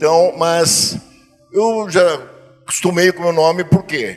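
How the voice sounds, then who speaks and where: A man's high-pitched voice at a fairly slow pace, with ordinary pitch variation and music in the background. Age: 70s. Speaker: church member giving testimony. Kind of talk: testimony. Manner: halting.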